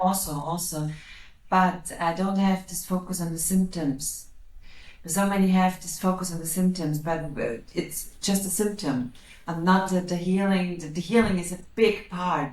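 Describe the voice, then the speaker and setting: Somewhat breathy woman's voice with audible room echo. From Austria. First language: German. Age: 40s. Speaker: psychic medium and energy healer. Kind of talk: interview. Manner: halting, repeating words.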